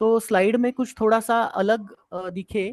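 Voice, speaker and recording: High-pitched man with a Marathi accent, fairly even intonation, dry, close sound with no echo. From Maharashtra, India. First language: Marathi (speaking Hindi). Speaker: Ayurveda and yoga professor. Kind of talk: online lecture Q&A. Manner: hesitant, many fillers.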